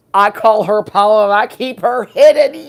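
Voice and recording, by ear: This is a put-on character voice that sounds female. The pitch is fairly high. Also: moderate pace.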